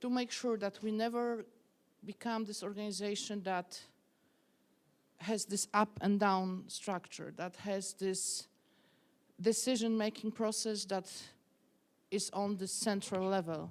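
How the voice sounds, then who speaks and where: At a fairly slow pace with long, frequent pauses, a woman with a Polish accent speaks in a monotone, flat intonation. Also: medium pitch for a woman. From Poland, small city. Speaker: activist and protest leader. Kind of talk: interview. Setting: stage with audience. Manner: halting, self-correcting.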